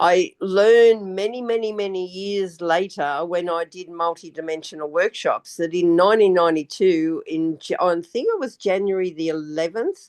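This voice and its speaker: A woman talks in an Australian accent at a medium pitch. Her pace is moderate and her pitch varies in an ordinary way. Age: 70s. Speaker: retired banker, spiritual guest. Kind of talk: casual chat.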